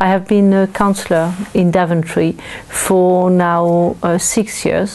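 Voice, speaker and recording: In a French accent, the speaker goes at a very slow pace with monotone, flat intonation and very even loudness. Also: woman. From France. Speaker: local councillor; council chairman. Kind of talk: interview; interview answer. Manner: halting. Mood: calm, pleasant. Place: home room.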